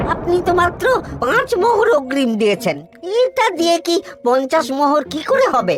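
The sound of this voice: A cartoonish character voice over clear background music. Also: moderate pace.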